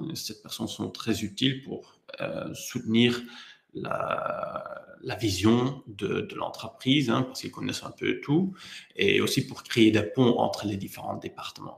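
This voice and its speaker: A man with a non-native accent speaks very slowly. His loudness swings widely. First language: not French (speaking French). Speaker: HR software presenter. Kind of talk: webinar presentation. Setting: online webinar. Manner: hesitant, frequent fillers.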